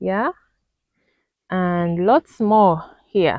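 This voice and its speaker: A woman is speaking. She has a Ugandan accent. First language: Luganda. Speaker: vlogger. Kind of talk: casual video tour. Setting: outdoors.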